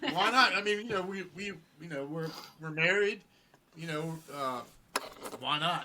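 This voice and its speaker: Mumbling at a moderate pace, a man with a high pitch shows ordinary pitch variation, big swings in loudness and long, frequent pauses, with noticeable background noise. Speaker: rock musician. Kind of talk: casual chat.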